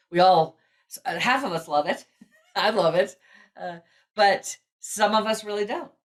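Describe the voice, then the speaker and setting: A woman's medium-pitched voice with lively intonation, big swings in loudness and long, frequent pauses. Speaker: personality assessment founder. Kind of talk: podcast interview. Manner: loud, fast.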